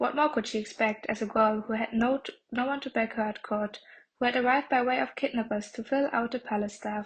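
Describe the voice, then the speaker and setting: A woman's fairly high voice with a non-native accent, fairly quick pace and fairly even intonation over a quiet background. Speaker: audiobook narrator. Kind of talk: reading aloud.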